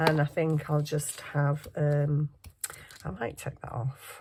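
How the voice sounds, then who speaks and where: With a northern English accent, a woman speaks in a very deep, low pitch. Her tone is dark and mellow, and somewhat breathy. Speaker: crafting youtuber. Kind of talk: craft tutorial. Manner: casual, chatty.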